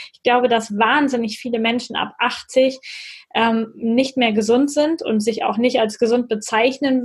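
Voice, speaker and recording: A woman with an unremarkable speaking voice, fairly even intonation and a fairly slow pace. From northern North Rhine-Westphalia, Germany. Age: 30s. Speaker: physiotherapist. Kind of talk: interview.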